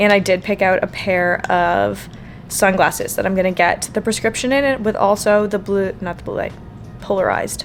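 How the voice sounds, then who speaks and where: Background music behind a woman's speech at a moderate tempo. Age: 30s. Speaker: lifestyle vlogger. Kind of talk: casual vlog talk to camera.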